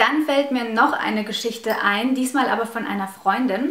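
A woman speaks at a moderate pace with ordinary pitch variation, and audible room echo surrounds her voice. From Russia, raised in Germany from age five. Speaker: YouTuber; vlogger. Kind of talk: vlog storytelling. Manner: hesitant, many fillers. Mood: animated, recounting upsetting stories. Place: home room.

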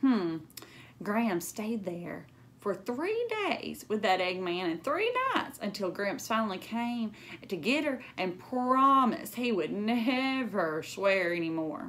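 A woman talks at a slow pace with a medium pitch and a fairly bright tone. Her intonation is lively.

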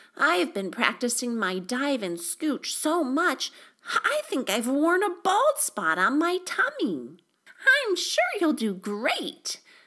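A put-on character voice, high in pitch, delivers the lines at a fairly slow pace. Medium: read story. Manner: chatty, upbeat.

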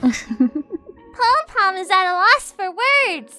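Faint music sits behind a put-on character voice at an extremely high pitch with very wide pitch swings and a very slow pace. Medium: dub. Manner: cute.

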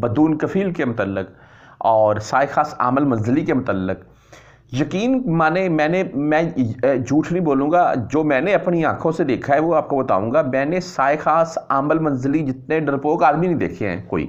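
A man with a fairly high pitch speaks at a very slow pace, with vocal fry and lively intonation. The background is quiet. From Pakistan. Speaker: news vlogger for expatriate workers; news vlogger. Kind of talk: casual news commentary. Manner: conversational, with hesitations. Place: home room. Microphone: lapel.

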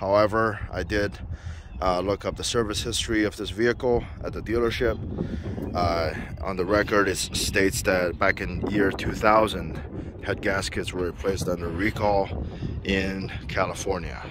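There is noticeable background noise as a man speaks, the sound dry with no echo. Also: moderate pace. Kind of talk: casual vlog chat. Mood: proud, relaxed. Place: street. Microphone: phone near.

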